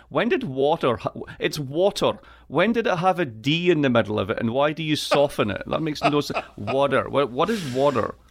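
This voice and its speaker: A man talks fairly quickly with a Scottish accent. His pitch is fairly high and his intonation lively. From Scotland. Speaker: political economy professor. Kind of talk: interview. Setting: video call. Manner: animated.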